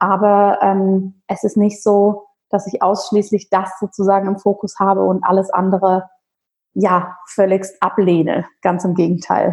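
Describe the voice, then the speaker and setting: A woman with a medium pitch speaks at a fairly slow pace in a monotone, flat intonation. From rural Bavaria, Germany. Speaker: holistic physician and yoga teacher. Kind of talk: interview conversation.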